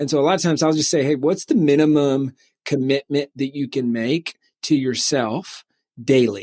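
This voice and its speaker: On a very clean recording with a silent background and a dry, close sound with no echo, a man with a slight Southern US accent speaks at a moderate pace and fairly high pitch. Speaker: author and publishing company CEO. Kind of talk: podcast interview. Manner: halting, many fillers.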